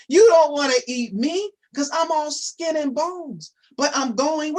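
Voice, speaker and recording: A moderate pace carries the speech. It is delivered in a put-on character voice. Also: man, extremely high pitch for a man. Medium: read story. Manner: sweet, wheedling.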